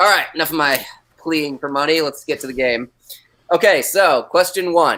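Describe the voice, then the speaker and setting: Loud and bright, the man's tone is sharp. His pitch is fairly high, with ordinary pitch variation. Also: moderate pace. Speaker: comic shop staff, trivia guest host. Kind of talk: live online trivia game hosting. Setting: live video stream.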